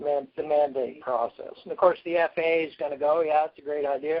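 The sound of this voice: A man speaks at a fairly quick pace in a fairly high pitch.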